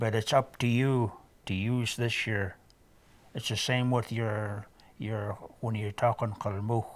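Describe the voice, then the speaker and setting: Fairly even intonation shapes a man's speech. He keeps a fairly slow pace. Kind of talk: oral storytelling / casual talk to camera about learning from elders. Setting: home visit, documentary recording.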